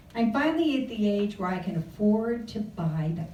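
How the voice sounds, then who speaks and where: A woman with fairly high pitch and lively intonation, with noticeable background noise and audible room echo. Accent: American. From California. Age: 70s. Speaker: luncheon speaker. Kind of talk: humorous talk. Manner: animated.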